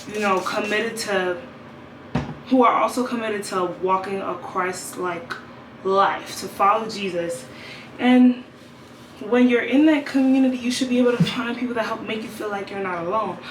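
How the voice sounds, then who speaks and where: A woman with a fairly high voice speaks at a moderate pace in an animated tone, with ordinary pitch variation and long, frequent pauses. Noticeable background noise and audible room echo fill the recording. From New York, Brooklyn. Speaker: vlogger and gospel singer. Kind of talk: casual vlog monologue. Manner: rambling, stuttering.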